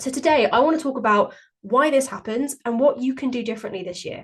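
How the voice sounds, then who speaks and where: A woman with a British accent speaks at a very fast pace. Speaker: podcast host and weight-loss coach. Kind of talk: solo podcast monologue. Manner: chatty.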